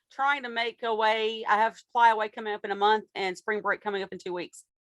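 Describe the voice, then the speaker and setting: The speech comes in an Appalachian accent at a fairly quick pace. The sound is dry and close, with no echo. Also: woman. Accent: Appalachian Southern US. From US South, Appalachian Kentucky. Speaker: fiber dyer and small business owner. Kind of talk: interview answers.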